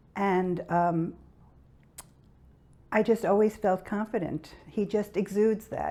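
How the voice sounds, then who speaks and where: The woman's tone is dark and mellow, with ordinary pitch variation. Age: 80s+. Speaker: patient. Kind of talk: testimony. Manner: halting.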